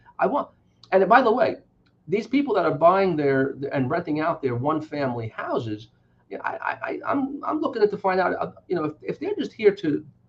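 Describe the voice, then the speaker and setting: Speaking at a fairly quick pace with a New York accent, a man lets his pitch swing very widely. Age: 60s. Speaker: politician. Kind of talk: interview.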